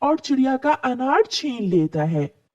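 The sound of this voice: Her slightly mellow tone carries big pitch swings as this woman speaks.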